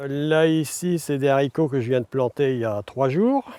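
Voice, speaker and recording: A man with a dark, mellow tone and fairly high pitch, very slow pace and ordinary pitch variation, in a dry, close sound with no echo. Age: 60s. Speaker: retired farmer. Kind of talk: casual chat. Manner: hesitant, many fillers.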